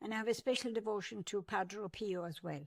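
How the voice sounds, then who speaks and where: A woman with an Irish accent, medium pitch, moderate pace and ordinary pitch variation. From Ireland. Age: 80s+. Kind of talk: interview answer.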